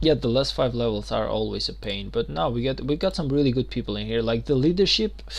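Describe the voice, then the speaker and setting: The speech has a non-native accent and runs at a very fast pace with hardly any pauses. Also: man. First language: not English. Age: 20s. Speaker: gaming streamer. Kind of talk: live stream gaming commentary. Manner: casual, occasionally halting.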